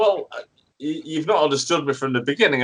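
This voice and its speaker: This man's voice shows vocal fry and very wide pitch swings. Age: 60s. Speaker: radio host. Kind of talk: radio interview, comic debate. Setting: radio studio.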